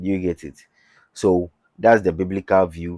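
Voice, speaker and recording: With a Ghanaian accent, a man speaks at a moderate pace in a very deep, low pitch and a dark, mellow tone. The sound is dry and close with no echo, the recording very clean with a silent background. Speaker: YouTuber. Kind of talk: religious talk. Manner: halting.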